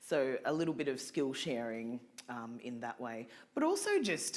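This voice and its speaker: Someone talks at a moderate pace in an Australian accent. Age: 40s. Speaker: community organisation representative. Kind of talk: fundraising pitch speech; audience Q&A answer. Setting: stage with live audience at fundraising event. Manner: halting.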